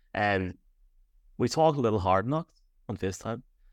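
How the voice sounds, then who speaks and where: Someone with an Irish accent talks at a very fast pace, the sound dry and close with no echo. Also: man. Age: 30s. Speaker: podcast co-host. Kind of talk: casual sports chat. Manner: halting, many fillers.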